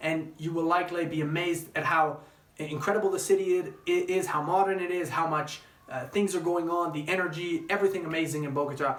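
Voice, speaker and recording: Noticeable background noise and audible room echo accompany speech at a very fast pace. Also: man, high pitch for a man, fairly even intonation. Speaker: travel vlogger. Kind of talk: casual vlog monologue.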